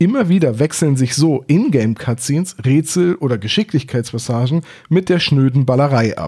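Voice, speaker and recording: A man talks in a dark, mellow, somewhat breathy tone. His fairly high pitch rises and falls with lively intonation. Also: moderate pace. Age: 30s. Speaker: podcast host. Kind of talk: scripted narration.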